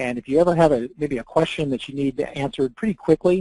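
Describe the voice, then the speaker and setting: A fairly high-pitched man speaks at a fairly quick pace. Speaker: software trainer. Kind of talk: webinar tutorial. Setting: online webinar. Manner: hesitant, many fillers.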